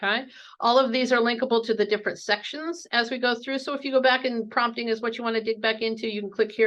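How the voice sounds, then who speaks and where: Over a quiet background, a woman talks at a very fast pace with hardly any pauses. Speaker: conference presenter on educational technology. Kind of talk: conference presentation.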